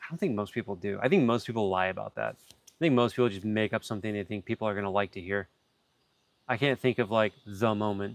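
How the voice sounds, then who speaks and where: A man with an American accent talks at a very fast pace, his pitch fairly low with ordinary variation. The sound is dry and close, with no echo. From Florida. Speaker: reptile keeper and live streamer. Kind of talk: casual chat.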